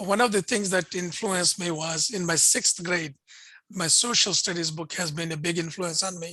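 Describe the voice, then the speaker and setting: In a Pakistani accent, a man speaks with a high pitch, fairly even intonation and a bright, sharp tone. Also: moderate pace. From India, Bangalore. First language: Urdu. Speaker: interfaith think tank director and host. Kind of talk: video interview conversation.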